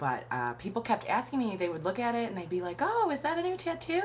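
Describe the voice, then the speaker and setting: Her intonation is lively. The woman's voice carries audible room echo. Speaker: vlogger. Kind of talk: casual webcam vlog monologue.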